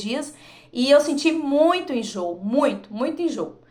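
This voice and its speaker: With audible room echo and noticeable background noise, a woman talks in an animated tone with ordinary pitch variation. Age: 40s. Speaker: vlogger. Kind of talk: personal testimony.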